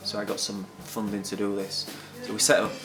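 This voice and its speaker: A man with a fairly low pitch talks at a fairly quick pace and in a fairly even intonation, with music playing in the background. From Hull, England. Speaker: recovering addict and guitar teacher. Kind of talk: interview answer.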